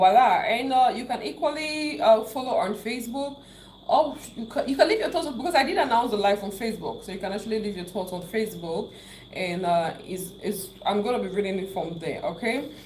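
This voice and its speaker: A woman in a Cameroonian accent with an animated tone, fairly high pitch and very wide pitch swings at a fairly quick pace, amid audible room echo and noticeable background noise. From Cameroon, English-speaking southwest region. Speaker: YouTuber. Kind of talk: live stream chat.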